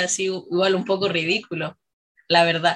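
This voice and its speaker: The speaker is a woman with a medium pitch. Her recording is very clean, and the background is silent. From Chile, La Serena. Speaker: dancer. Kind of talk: radio interview. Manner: halting.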